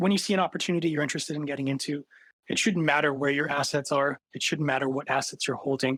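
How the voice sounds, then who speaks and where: At a very fast pace, a man with a fairly high pitch talks in fairly even intonation, the sound dry and close with no echo. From Canada. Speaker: tech startup co-founder. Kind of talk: podcast interview.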